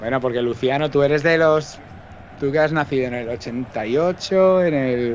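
Over light background noise, a man talks in a fairly high voice with ordinary pitch variation and an ordinary speaking voice. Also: fairly slow pace. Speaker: co-commentator and pundit. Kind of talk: casual banter and chat. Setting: online livestream on Twitch. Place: home room. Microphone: studio mic.

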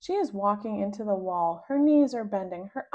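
Reading aloud in a natural voice is what the speaker does here. Lively intonation runs through it.

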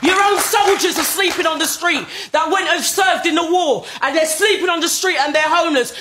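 A woman's angry, raised, projected voice at an extremely high pitch and a fairly quick pace, over noticeable background noise. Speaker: grandmother. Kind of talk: angry public plea to politicians, impassioned speech. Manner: angry, emotional, fed up.

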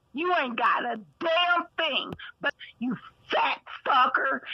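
A woman with an extremely high pitch speaks at a very slow pace in a raised, projected voice, using lively intonation and long, frequent pauses. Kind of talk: angry insult rant on livestream panel. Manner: aggressive, shouting.

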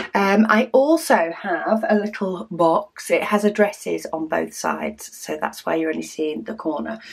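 The background stays quiet. A woman speaks at a fairly slow pace. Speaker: craft video host. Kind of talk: casual vlog chat. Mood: cheerful, relaxed.

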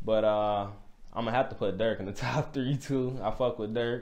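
At a fairly quick pace, a man talks with fairly even intonation. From Illinois, US. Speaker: rapper; interviewee. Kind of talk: casual interview. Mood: relaxed, easygoing. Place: studio.

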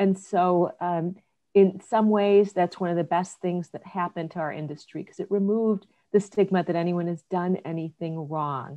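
At a moderate pace, a woman with a fairly low pitch speaks with fairly even intonation against a quiet background. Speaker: business leader in human capital. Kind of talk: panel discussion. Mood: earnest, reflective. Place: home room. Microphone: webcam.

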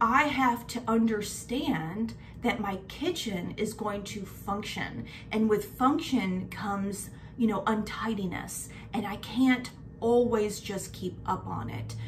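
Over light background noise, a woman speaks at a very slow pace with ordinary pitch variation. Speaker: lifestyle vlogger. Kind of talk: casual vlog chat. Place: kitchen. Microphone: phone near.

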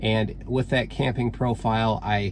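Background noise is noticeable as a man talks. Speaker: car owner vlogger. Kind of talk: tutorial. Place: car. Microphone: phone near.

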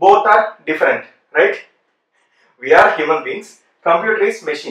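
In a room with audible echo but a quiet background, a man speaks at a moderate pace with ordinary pitch variation. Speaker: programming teacher. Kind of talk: lecture. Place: classroom.

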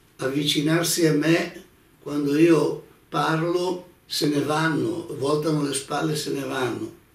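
A man speaks at a very slow pace with fairly even intonation. Room echo is audible. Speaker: religious teacher. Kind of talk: religious lecture. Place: home room.

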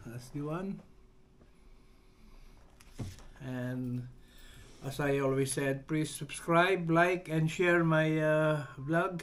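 Against light background noise, a man speaks at a very slow pace. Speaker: vlogger. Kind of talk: casual vlog chat. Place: home room.

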